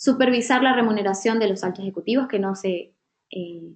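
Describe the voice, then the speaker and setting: Her voice sits at a medium pitch and is an unremarkable speaking voice. The woman's delivery has a moderate pace and ordinary pitch variation. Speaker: workshop facilitator. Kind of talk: online training session.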